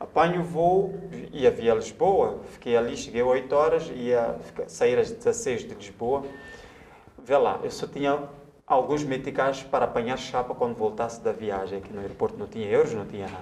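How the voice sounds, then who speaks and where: Amid noticeable background noise, a man with a Mozambican accent talks at a moderate pace in a fairly high pitch that swings very widely. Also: big swings in loudness. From Mozambique, Maputo area. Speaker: writer and journalist. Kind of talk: casual interview chat, storytelling. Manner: animated.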